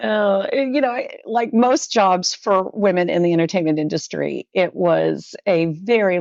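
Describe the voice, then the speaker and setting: Speaking at a fairly slow pace, a woman with an American accent uses lively intonation and a fairly low pitch. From California, San Francisco. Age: 60s. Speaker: digital marketing consultant. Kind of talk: podcast interview.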